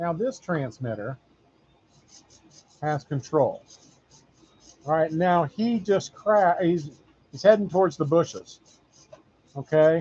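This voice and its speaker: A loud man's voice with a dark, mellow tone and high pitch moves at a very slow pace, with lively intonation and long, frequent pauses. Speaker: RC hobbyist YouTuber. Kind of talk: tutorial. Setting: workshop with machines running.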